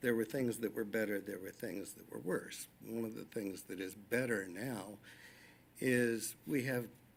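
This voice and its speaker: With a normal speaking voice, a man talks at a moderate pace and medium pitch, showing ordinary pitch variation. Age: 60s. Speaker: public commenter at school board meeting. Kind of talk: public comment.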